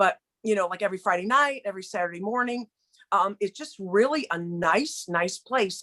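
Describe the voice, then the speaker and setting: Lively intonation and a bright, sharp tone come through in a dry, close sound with no echo. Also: woman. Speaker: spiritual teacher and guest speaker. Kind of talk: casual spiritual talk on video call. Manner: fast.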